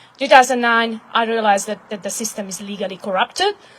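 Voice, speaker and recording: A woman with a Hungarian accent, fairly high in pitch, with fairly even intonation. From Hungary. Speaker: activist. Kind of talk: impromptu speech at live event. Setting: live event with audience.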